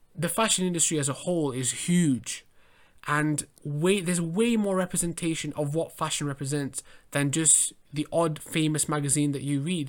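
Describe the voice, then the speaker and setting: A man with an English accent, fairly high-pitched with ordinary pitch variation, on a very clean recording with a silent background. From England. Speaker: podcast host and fashion model. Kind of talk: solo monologue podcast.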